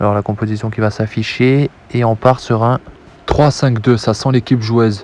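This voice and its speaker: A man talks at a moderate pace in a medium-pitched voice. His intonation is monotone and flat, with noticeable background noise. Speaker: video game football commentator. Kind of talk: live commentary. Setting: at home, late at night. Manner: soft-spoken, calm.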